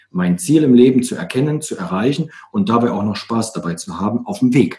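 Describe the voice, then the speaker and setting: A man with a medium pitch sounds somewhat breathy and dark and mellow in tone, his pitch swinging very widely. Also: big swings in loudness. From East Germany. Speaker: author and coach. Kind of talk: casual interview.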